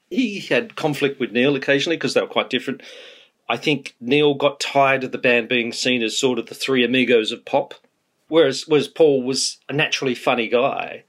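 The voice has an Australian accent. It moves at a fairly quick pace. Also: man, fairly high pitch for a man, ordinary pitch variation. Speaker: music biographer. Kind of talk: interview. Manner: fast.

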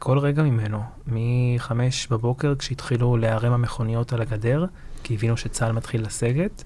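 Medium-pitched male speech in a Lebanese accent, moderate pace, very even loudness and fairly even intonation, with noticeable background noise. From southern Lebanon, Marjayoun; Israel from age 9. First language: Lebanese Arabic (speaking Hebrew). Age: 20s. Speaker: public diplomacy activist, son of former militia officer. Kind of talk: interview.

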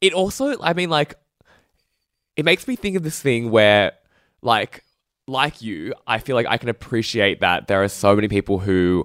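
An Australian accent with very wide pitch swings and long, frequent pauses, in a dry, close sound with no echo on a very clean recording with a silent background. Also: man. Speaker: culture critic. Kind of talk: casual chat.

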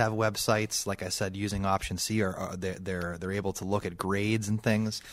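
Here a man with a normal speaking voice talks at a moderate pace in a fairly low pitch with fairly even intonation, on a very clean recording with a silent background. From Pittsburgh area, Pennsylvania (Bethel Park). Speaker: elementary school principal. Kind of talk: radio interview.

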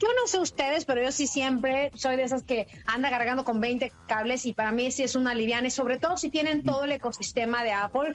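With noticeable background noise behind her, a woman with a high pitch speaks in an animated tone at a fairly quick pace, with hardly any pauses, ordinary pitch variation, and very even loudness. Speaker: technology journalist, podcast co-host. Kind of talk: casual chat, gadget review.

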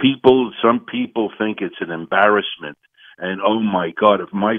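In a plain, everyday voice, a man talks at a moderate pace with a fairly low pitch. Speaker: caller. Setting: phone call.

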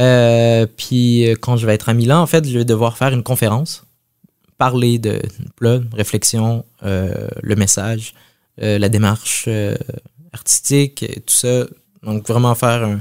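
Here a man talks at a fairly slow pace and medium pitch. His intonation stays fairly even, broken by long, frequent pauses. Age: 30s. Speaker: chef. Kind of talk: interview. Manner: halting.

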